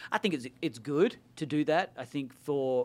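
The recording is very clean, with a silent background. A man with an Australian accent speaks at a fairly slow pace. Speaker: pastor. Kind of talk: casual chat.

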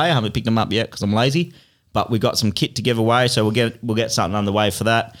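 A man's voice with an Australian accent, medium in pitch, with fairly even intonation and a very clean recording against a silent background. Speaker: podcast host. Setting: studio.

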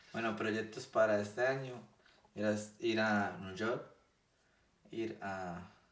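A man's fairly low-pitched voice with fairly even intonation, set in audible room echo. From Colombia, Bucaramanga. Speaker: podcast guest. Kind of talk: casual chat.

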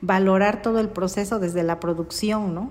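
Speaking at a very slow pace, a woman at medium pitch holds a fairly even intonation. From Mitla, Oaxaca, Mexico. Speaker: mezcal producer. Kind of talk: radio interview.

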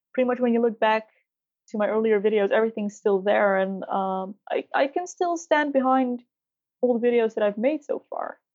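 A woman with a Dutch accent talks at a moderate pace. Her pitch is fairly high and her intonation lively. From Netherlands. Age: 20s. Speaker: beauty YouTuber. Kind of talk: casual interview. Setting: remote call.

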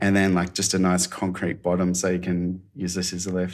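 With an Australian accent, a man talks at a moderate pace in a very deep, low voice with fairly even intonation. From Australia, mid-north coast of New South Wales. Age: 40s. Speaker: designer and creative director. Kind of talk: casual interview. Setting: video call.

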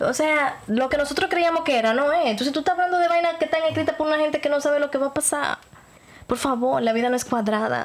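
A woman's high-pitched, very fast speech with ordinary pitch variation and very even loudness, over noticeable background noise. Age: 30s. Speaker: podcast host. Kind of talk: casual chat.

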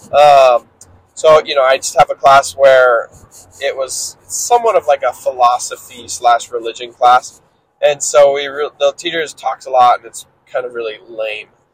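A man with a fairly high pitch talks at a moderate pace with ordinary pitch variation and big swings in loudness, the sound dry and close with no echo. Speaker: solo podcaster documenting a self-improvement journey. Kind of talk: casual solo monologue. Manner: casual, many filler words.

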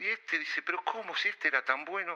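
A man at a fairly quick pace. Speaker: father of a podcast host. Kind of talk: casual storytelling.

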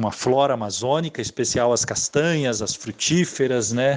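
A man speaks at a medium pitch with ordinary pitch variation. It is a normal speaking voice. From Rio de Janeiro state countryside. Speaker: biologist and researcher. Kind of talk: interview.

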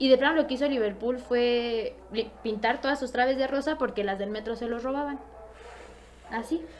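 A woman speaks at a moderate pace with a high pitch and an animated tone. Her speech is broken by long, frequent pauses. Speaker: podcast guest. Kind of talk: casual chat.

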